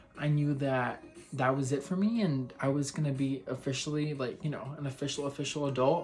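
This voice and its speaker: Music plays in the background as a man speaks with an American accent. His pitch is fairly high and his pace fairly quick. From Texas. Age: 20s. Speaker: vlogger. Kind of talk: personal vlog monologue. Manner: casual, with many fillers.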